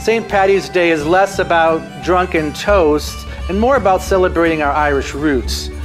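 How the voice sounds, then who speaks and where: A man speaks at a high pitch in an upbeat tone. Clear music plays in the background. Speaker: talk show host. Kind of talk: talk show host monologue. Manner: upbeat, casual. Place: studio.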